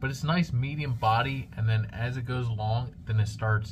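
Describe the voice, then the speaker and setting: Somewhat breathy speech at a moderate pace, with ordinary pitch variation, carries audible room echo. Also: man. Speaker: cigar reviewer and cigar shop salesman. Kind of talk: product review to camera. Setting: cigar shop, alone on camera. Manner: halting, self-described stuttering on camera.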